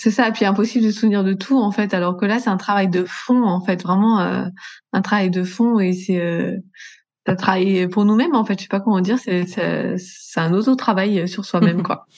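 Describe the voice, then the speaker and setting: Fairly even intonation marks this woman's speech, delivered at a moderate pace. Hers is an unremarkable speaking voice, pitched in the medium range. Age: 30s. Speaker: entrepreneur, customer care manager. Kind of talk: casual interview chat.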